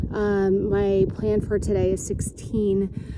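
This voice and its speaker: A woman is heard in a dry sound with no echo. Loud background noise surrounds her voice. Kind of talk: casual vlog chat. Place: forest. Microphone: phone near.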